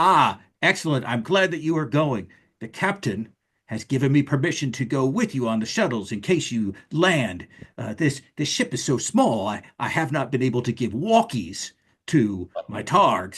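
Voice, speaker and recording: A man's bellowing, put-on character voice at a medium pitch and moderate pace. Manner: bellowing, boisterous.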